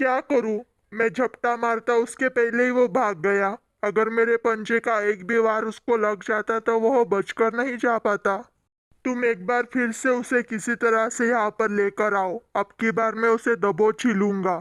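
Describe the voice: A cartoonish character voice comes through at a fairly high pitch and moderate pace. The background is quiet. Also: female-sounding voice.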